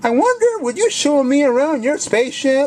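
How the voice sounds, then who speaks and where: The speaker puts on a character voice, pitched high and delivered at a moderate pace. Background noise is clearly audible. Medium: read story. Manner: eager, upbeat.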